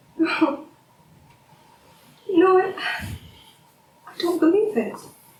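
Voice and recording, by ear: Strong room echo surrounds a woman doing a put-on character voice at an extremely high pitch. She speaks very slowly with lively intonation. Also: slightly mellow tone.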